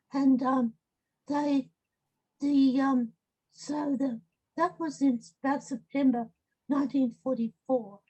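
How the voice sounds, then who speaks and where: With an Australian accent, a woman speaks at a very slow pace in a high pitch with a dark, mellow tone, fairly even intonation, and long, frequent pauses. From Australia, rural. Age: 80s+. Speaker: medical ethnographer. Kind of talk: interview. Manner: halting, many fillers.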